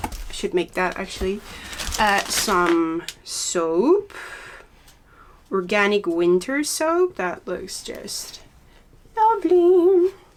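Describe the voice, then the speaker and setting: Long, frequent pauses mark this woman's speech. She talks at a very slow pace with a Dutch accent. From Netherlands, Zaanstreek near Amsterdam. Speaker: knitting podcaster. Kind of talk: casual chat. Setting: home studio. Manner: halting, with frequent fillers.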